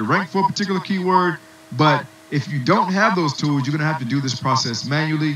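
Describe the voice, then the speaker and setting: Clearly audible noise fills the background. A man speaks fairly quickly, his pitch varying in an ordinary way. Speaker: online marketing instructor. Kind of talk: webinar tutorial. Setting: webinar with muted attendees. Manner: fast.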